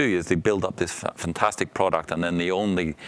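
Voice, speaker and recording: Very deep and low, a man's voice races at a very fast pace with ordinary pitch variation. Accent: Northern Irish. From Northern Ireland. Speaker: entrepreneur and startup coach. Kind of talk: talk to startup students. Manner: casual, with many fillers.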